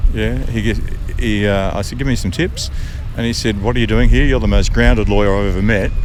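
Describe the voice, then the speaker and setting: A man with an Australian accent talks at a very fast pace. Noticeable background noise sits behind him. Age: 70s. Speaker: retired barrister. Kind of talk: interview answer. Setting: outdoors. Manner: laid-back, good-humoured.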